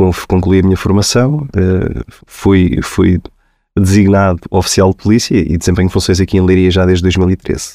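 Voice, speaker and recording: In a dry, close recording with no echo, a man speaks with a very deep, low pitch and a dark, mellow tone at very even loudness. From central Portugal (Abrantes). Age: 30s. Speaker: police officer. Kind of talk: interview conversation. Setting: studio. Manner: halting, many repetitions.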